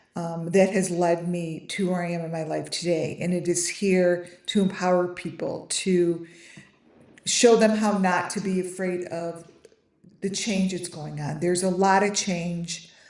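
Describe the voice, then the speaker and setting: A woman's fairly low voice, monotone and flat, at a fairly slow pace amid audible room echo. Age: 50s. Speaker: online creator selling AI trading cards. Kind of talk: casual live stream talk. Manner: halting, many fillers and restarts.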